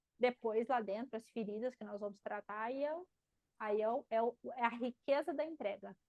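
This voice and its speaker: A woman with a fairly high voice talks at a moderate pace with ordinary pitch variation. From Paraná, Brazil (countryside). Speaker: marketing teacher and mentor. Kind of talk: live class Q&A. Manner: animated.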